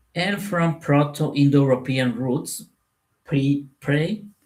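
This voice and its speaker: Very slow speech in a Spanish accent. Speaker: spiritual content creator. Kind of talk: spoken talk to camera. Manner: halting, with fillers and repetitions.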